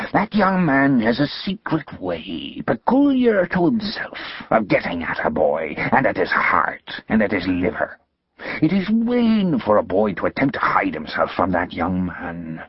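Putting on a growling character voice, a man speaks at a moderate pace and a fairly high pitch. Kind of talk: menacing dramatic character voice. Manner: threatening, growling, intimidating.

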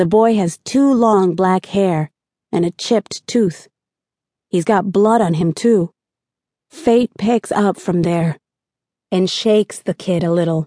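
A woman's very slow speech with long, frequent pauses, a dark, mellow tone, medium pitch, ordinary pitch variation, very even loudness and a dry, close sound with no echo. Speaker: audiobook narrator. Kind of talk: dramatic first-person audiobook narration of a crime novel. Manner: tense, gritty, street-wise, with urgent pacing; shifts between narration and quoted dialogue voices.

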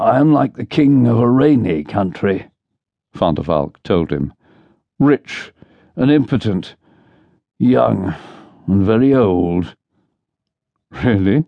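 A man with a fairly low pitch speaks at a very slow pace, leaving long, frequent pauses. His pitch swings very widely. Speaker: audiobook narrator. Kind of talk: dramatic audiobook narration with character voices, unabridged thriller reading. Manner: animated, shifts between brisk narration and wry, bantering character voices.

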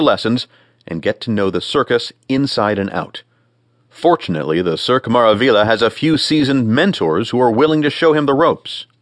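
A man speaks at a fairly quick pace in a warm, theatrical tone. His pitch swings very widely, and the sound is dry and close with no echo. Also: quiet background. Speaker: audiobook narrator. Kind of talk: audiobook narration, scripted reading aloud. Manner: polished, warm and theatrical, ringmaster-style showmanship; measured, clear, formal pacing.

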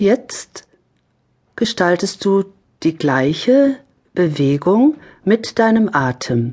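A woman's calm, soothing voice at a medium pitch, very slow, with very wide pitch swings and long, frequent pauses. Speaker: yoga instructor, audiobook narrator. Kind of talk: guided yoga exercise instruction. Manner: slow, calm, soothing; gentle, measured, with pauses.

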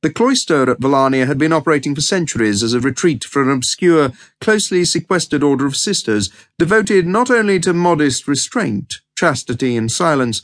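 A fairly high male voice with very wide pitch swings and a fairly quick pace, dry and close with no echo, over a quiet background. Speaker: audiobook narrator. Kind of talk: dramatic audiobook narration, scripted prose read aloud. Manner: measured, storytelling pace, arch and knowing, tongue-in-cheek tone.

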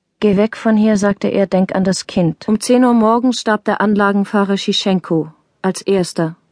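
An ordinary speaking voice, a woman talks at medium pitch and moderate pace with fairly even intonation and very even loudness, in a dry, close sound with no echo against a quiet background. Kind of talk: audiobook reading of a widow's testimony.

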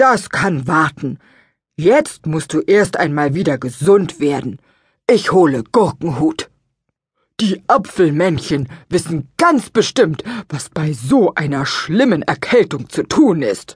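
Putting on a character voice, a woman speaks fairly slowly at a fairly low pitch, her pitch swinging very widely. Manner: worried, caring.

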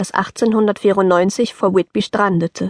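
Her pitch medium, a woman speaks with fairly even intonation. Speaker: audiobook narrator. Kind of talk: scripted audiobook narration, reading a letter aloud in an elderly grandfather's voice. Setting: studio.

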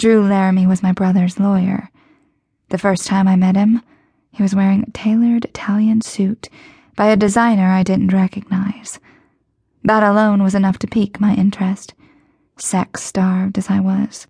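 A woman's dark, mellow, somewhat breathy voice at medium pitch, monotone and flat, at a moderate pace with long, frequent pauses, dry and close with no echo. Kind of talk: audiobook narration.

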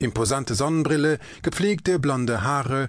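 Dramatic, lively intonation from a man at medium pitch and a fairly slow pace. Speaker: audiobook narrator. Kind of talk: dramatic narration, reading aloud. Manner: vivid, dramatic, measured.

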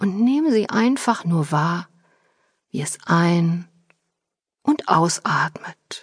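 At a very slow pace, a woman with a fairly low, somewhat breathy voice speaks in a calm, soothing tone with lively intonation. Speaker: audiobook narrator and author. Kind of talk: guided meditation. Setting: studio. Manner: slow, calm, soothing; gentle, unhurried, with pauses.

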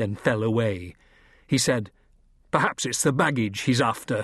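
A man's somewhat breathy voice at medium pitch and a fairly slow pace. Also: quiet background. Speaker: audiobook narrator. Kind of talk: dramatic audiobook narration of a kids' adventure, first-person. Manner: tense, suspenseful, hushed then sharp.

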